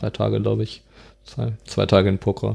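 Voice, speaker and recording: The man's pitch is very deep and low, with vocal fry. His intonation stays fairly even. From Germany, Dortmund (Ruhr area). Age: 20s. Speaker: student and street pianist. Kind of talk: casual interview.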